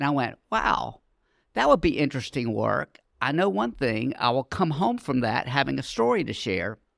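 In an American accent, the speaker keeps a moderate pace on a very clean recording with a silent background. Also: man. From Charlotte, North Carolina. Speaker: nonprofit community education director. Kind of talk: casual interview.

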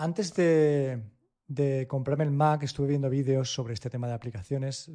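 Against a quiet background, a man's somewhat breathy voice has a dark, mellow tone, a medium pitch, and ordinary pitch variation. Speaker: tech podcast co-host. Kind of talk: casual chat.

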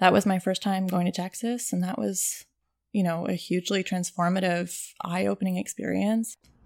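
With a Canadian accent, a woman of medium pitch talks at a moderate pace with fairly even intonation in an unremarkable speaking voice. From Toronto, Canada. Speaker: portrait photographer. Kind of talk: casual interview. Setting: guest's apartment.

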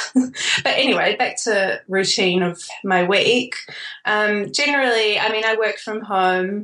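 A woman with a New Zealand accent, fairly high in pitch, at a fairly slow pace. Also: ordinary pitch variation. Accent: Kiwi. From New Zealand (Auckland), born in Australia. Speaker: wedding photographer. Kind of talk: casual interview chat. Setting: remote call.

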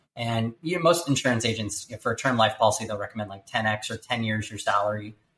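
The speech runs at a very fast pace, with ordinary pitch variation and big swings in loudness. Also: man, medium pitch for a man. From California. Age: 30s. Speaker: startup founder and CEO. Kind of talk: interview.

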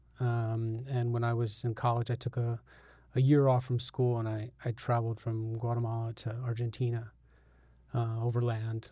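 In an American accent, the voice is somewhat breathy with a dark, mellow tone, speaking at a moderate pace with monotone, flat intonation on a very clean recording with a silent background. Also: man, medium pitch for a man. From Albany, New York. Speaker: journalist. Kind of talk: interview conversation.

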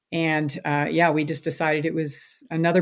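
A woman's fairly low voice in an American accent, flat and monotone in intonation. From Louisville, Kentucky, US. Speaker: physician. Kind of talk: interview.

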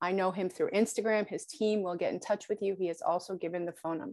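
Intonation stays fairly even against a quiet background. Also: woman. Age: 50s. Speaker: podcast host, fitness business owner, scoliosis patient. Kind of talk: interview.

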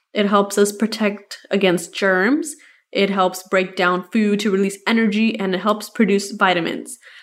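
A woman has an unremarkable speaking voice at medium pitch. Her pace is moderate and her intonation fairly even. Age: 20s. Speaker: podcast host and registered nurse. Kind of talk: casual solo podcast talk.

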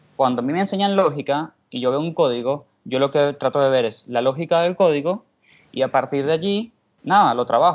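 This man has a plain, everyday voice, fairly high in pitch, with ordinary pitch variation and a moderate pace. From Venezuela. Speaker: podcast host. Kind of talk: casual interview chat.

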